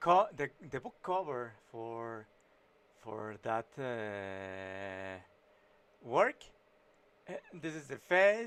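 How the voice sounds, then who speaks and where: Very slow and broken by long, frequent pauses, a man with a Mexican accent speaks at a medium pitch, swinging very widely in pitch and shifting greatly in loudness. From Mexico. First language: Spanish. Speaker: illustrator and writer streaming his painting. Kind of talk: casual live-stream commentary while drawing. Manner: halting, many fillers and false starts.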